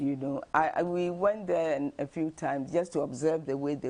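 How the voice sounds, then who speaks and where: Against a quiet background, a woman speaks at a fairly slow pace in a dark, mellow tone with vocal fry. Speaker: retired linguistics professor. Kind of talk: interview.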